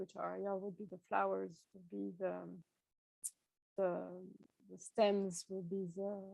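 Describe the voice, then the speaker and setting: A woman talks with a French accent. Her pace is fairly slow. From France. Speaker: tea shop owner and workshop presenter. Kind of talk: online workshop presentation. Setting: video call.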